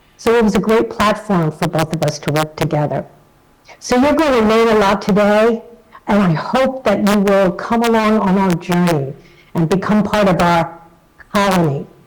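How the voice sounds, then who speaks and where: Through noticeable background noise, a woman with an American accent speaks at a moderate pace in a medium pitch, her intonation lively and her loudness very even. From New York. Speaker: association chief executive. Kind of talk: recorded video message.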